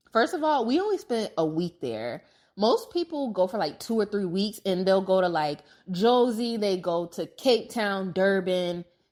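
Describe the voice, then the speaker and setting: A woman talks in a normal speaking voice at medium pitch and a moderate pace, with lively intonation. The recording is very clean, with a silent background. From United States. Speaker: podcast host. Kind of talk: casual travel storytelling monologue. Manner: conversational, filler-heavy.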